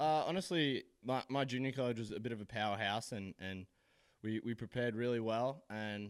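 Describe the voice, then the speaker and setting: A man at a medium pitch with an Australian accent, fairly quick pace and ordinary pitch variation, on a very clean recording with a silent background. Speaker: college baseball player. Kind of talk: postgame interview. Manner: halting, with many repeated words.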